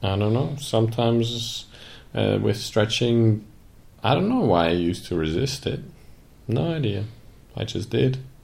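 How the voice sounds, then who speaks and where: Somewhat breathy and with lively intonation, a man talks at a moderate pace with long, frequent pauses amid audible room echo. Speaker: podcast co-host, business coach. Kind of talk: casual chat.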